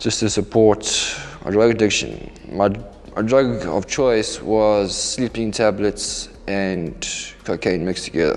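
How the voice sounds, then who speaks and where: Against noticeable background noise, a man speaks at a fairly low pitch with fairly even intonation. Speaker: recovering addict. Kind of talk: testimony. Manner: halting.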